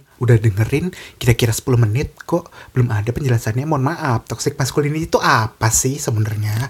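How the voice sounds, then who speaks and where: Over noticeable background noise, a man talks at a fairly quick pace, with a medium pitch and ordinary pitch variation. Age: young. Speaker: podcast host. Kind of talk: casual chat. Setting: in person. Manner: soft-spoken.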